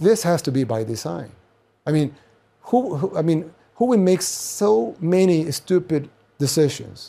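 Lively intonation from a man, fairly high in pitch, with a dark, mellow tone. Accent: Spanish. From El Salvador. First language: Spanish. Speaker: political commentator. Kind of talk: monologue commentary. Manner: halting, many restarts.

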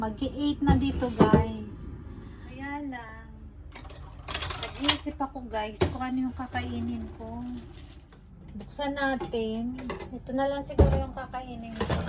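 Loudness swings widely as a woman speaks very slowly with long, frequent pauses, amid noticeable background noise and audible room echo. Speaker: vlogger, factory worker. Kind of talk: casual vlog narration.

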